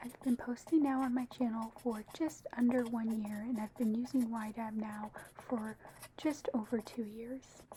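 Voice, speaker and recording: Noticeable noise sits in the background. The talking goes at a moderate pace. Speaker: personal finance YouTuber. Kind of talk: casual talk to camera.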